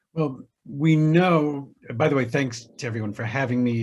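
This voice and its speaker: A somewhat breathy man with an American accent, at a moderate pace with fairly even intonation, amid audible room echo. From US South, Savannah, Georgia. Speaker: historian, writer and filmmaker. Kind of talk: panel discussion.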